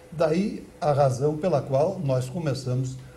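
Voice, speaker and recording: With audible room echo and noticeable background noise, a man speaks in a fairly high pitch that varies in an ordinary way. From Santa Catarina, southern Brazil. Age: 80s+. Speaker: former mayor and politician, ex-radio broadcaster. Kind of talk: interview. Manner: formal; halting.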